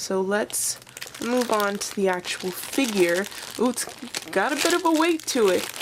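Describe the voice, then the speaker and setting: A woman with a fairly high pitch talks fairly slowly, her voice making very wide pitch swings amid noticeable background noise. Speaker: toy collector vlogger. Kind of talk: unboxing review. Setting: sitting on floor at home. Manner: excited.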